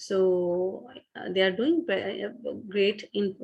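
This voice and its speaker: A woman with a Pakistani accent speaks at a very slow pace in a medium pitch. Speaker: business founder and CEO. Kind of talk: online talk. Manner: halting, many fillers.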